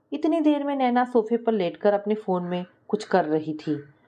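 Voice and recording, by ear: A dark, mellow tone at a moderate pace, with big swings in pitch. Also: woman, medium pitch for a woman.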